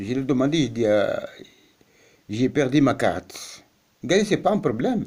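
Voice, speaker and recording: Long, frequent pauses break up a man's speech at a moderate pace. His fairly high pitch swings very widely. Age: 70s. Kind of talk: personal testimony. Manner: halting, repetitive.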